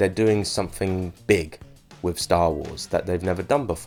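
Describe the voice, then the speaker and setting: Music plays in the background as a man speaks. His pitch is very deep and low, and his pace is moderate. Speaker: YouTuber reviewing TV episodes. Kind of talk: casual solo review. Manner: rambling, hesitant with repetitions.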